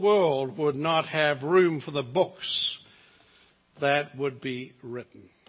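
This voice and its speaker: A man with a New Zealand accent, fairly high in pitch, at a very slow pace with ordinary pitch variation. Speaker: visiting preacher. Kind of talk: sermon. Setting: church.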